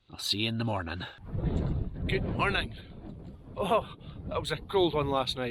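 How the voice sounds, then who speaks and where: A man speaks in a Scottish accent. His pitch swings very widely. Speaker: outdoor vlogger. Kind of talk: vlog narration. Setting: outdoors on a mountain, in a tent.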